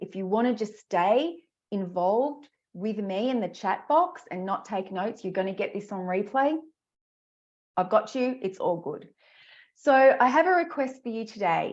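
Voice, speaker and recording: A woman with an Australian accent, fairly high in pitch, lively in intonation, at a moderate pace over a quiet background. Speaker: career coach. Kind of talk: webinar presentation. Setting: live online masterclass. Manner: animated.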